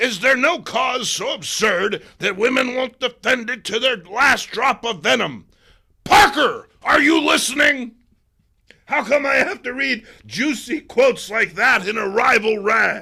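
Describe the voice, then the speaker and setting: In a put-on character voice, a man speaks at an extremely high pitch. His pace is fairly slow, with ordinary pitch variation. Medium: read story. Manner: loud, blustering.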